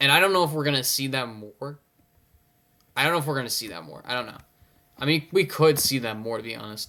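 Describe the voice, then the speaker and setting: With a medium pitch, a man talks at a very fast pace using lively intonation. He leaves long, frequent pauses. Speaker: NBA commentary YouTuber. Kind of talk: casual solo commentary. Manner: halting, many fillers.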